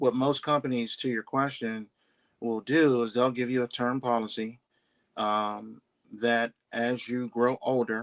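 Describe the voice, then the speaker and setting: A man with an American accent and an ordinary speaking voice speaks at a fairly slow pace with fairly even intonation, in a very clean recording with a silent background and a dry, close sound with no echo. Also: medium pitch for a man. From Pittsburgh, Pennsylvania. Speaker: insurance underwriter. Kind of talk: interview answer.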